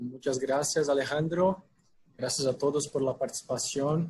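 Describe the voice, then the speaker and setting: A man's fairly high, somewhat breathy voice with a Brazilian accent, at a fairly slow pace and with fairly even intonation. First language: Portuguese (speaking Spanish). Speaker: packaging sales manager, webinar speaker. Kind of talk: webinar presentation. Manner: halting, with fillers.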